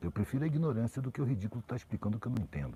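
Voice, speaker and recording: The recording is dry and close with no echo as a man talks at a medium pitch, his tone dark, mellow and somewhat breathy and his intonation lively. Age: 60s. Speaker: social commentator. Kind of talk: live stream conversation. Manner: casual, slangy.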